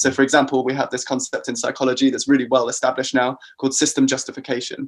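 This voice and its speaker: Very fast, monotone speech with flat intonation and a British accent. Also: man, medium pitch for a man. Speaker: psychology researcher. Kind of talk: podcast interview. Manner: hesitant with fillers.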